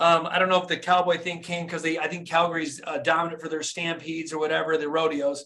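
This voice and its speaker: The man speaks very fast with an American accent and hardly any pauses. His pitch is high. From US Midwest, Flint, Michigan. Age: 40s. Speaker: dentist and motivational coach. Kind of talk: motivational talk. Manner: animated.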